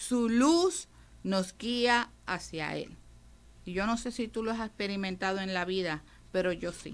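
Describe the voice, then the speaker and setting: A woman in an unremarkable speaking voice talks fairly slowly with ordinary pitch variation. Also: medium pitch for a woman. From Puerto Rico. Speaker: radio preacher. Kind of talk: radio sermon.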